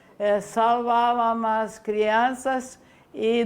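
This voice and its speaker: In a Ukrainian accent, a woman speaks very slowly in a fairly high, flat, monotone voice. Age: 80s+. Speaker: famine survivor. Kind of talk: interview answer.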